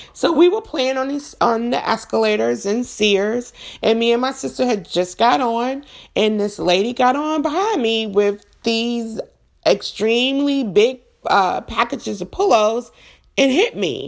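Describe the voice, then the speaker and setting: A woman talks in an ordinary speaking voice, pitched fairly high. Her intonation is lively and her pace fairly slow. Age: 40s. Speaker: podcast host. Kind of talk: personal monologue on faith and mental health.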